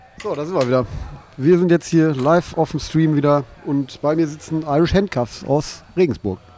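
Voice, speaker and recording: At a moderate pace, the man talks in a fairly high pitch, his pitch variation ordinary, while noticeable background noise sits behind him. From Ruhr area, Bochum. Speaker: livestream interviewer. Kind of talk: casual interview. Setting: live stream.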